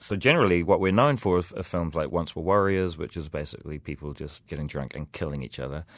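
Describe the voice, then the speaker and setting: Over a silent background in a very clean recording, a man speaks at a fairly quick pace with fairly even intonation. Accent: New Zealand. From New Zealand, rural east coast of the North Island. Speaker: filmmaker. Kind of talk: casual interview. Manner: hesitant with fillers.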